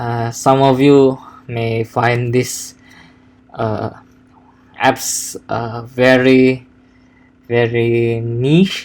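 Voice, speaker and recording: A man with a non-native accent speaks at a very slow pace in a medium-pitched, monotone, flat voice, taking long, frequent pauses. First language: not English. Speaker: software developer. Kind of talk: coding tutorial. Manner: halting, many fillers and repetitions.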